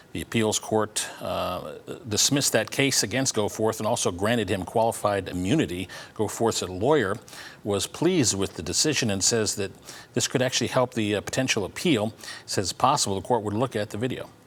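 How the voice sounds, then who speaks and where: A man talks at a fairly quick pace in an ordinary speaking voice. His pitch is fairly low, with ordinary pitch variation. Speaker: television news anchor. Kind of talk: television news anchor delivery.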